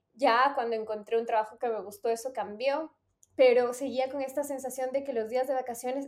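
A woman's high voice, fairly quick, with monotone, flat intonation. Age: 30s. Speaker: podcast host. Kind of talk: casual chat.

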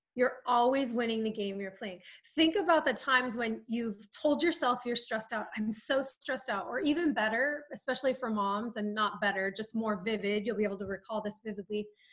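This woman, with an American accent, has a fairly high pitch, ordinary pitch variation and an animated tone. She moves at a fairly quick pace with hardly any pauses. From Southern California. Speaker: life coach. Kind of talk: podcast interview.

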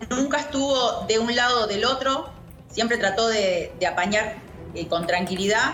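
Over noticeable background noise and audible room echo, a woman with a fairly high pitch speaks at a fairly slow pace with ordinary pitch variation. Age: 40s. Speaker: actress. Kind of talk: interview.

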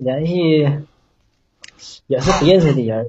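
Very slowly, a man with a northeastern Chinese accent speaks in a somewhat breathy voice of fairly high pitch. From Northeast China, Shenyang. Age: 30s. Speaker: caller seeking relationship advice. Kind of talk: call-in advice chat. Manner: halting.

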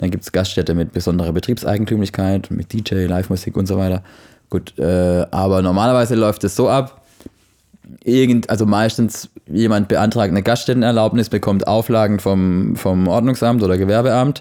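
At a moderate pace, a man speaks in a fairly low pitch with a dark, mellow tone and very even loudness. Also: fairly even intonation. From Baden-Württemberg, Offenburg. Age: 30s. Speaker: noise control consultant. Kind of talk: casual chat.

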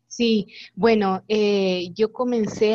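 The sound is dry and close, with no echo. The voice belongs to a woman. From Guatemala, San Juan Comalapa. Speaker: singer-songwriter. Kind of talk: interview.

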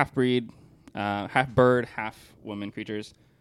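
This man has an unremarkable speaking voice with fairly low pitch. He keeps a moderate pace and fairly even intonation. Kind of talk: casual chat and storytelling.

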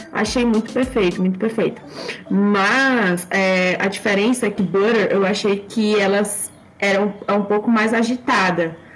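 A woman's fairly slow speech, fairly even in intonation and very even in loudness, over noticeable background noise. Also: medium pitch for a woman. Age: 20s. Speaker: psychology student and fan group volunteer. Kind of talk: casual chat; informational explanation.

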